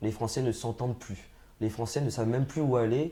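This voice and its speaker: Somewhat breathy, a man speaks at medium pitch in a dark, mellow tone with fairly even intonation. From France, Essonne (Grigny, Paris suburbs). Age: 30s. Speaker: political candidate. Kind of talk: interview. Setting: studio set. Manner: hesitant, many fillers and repetitions.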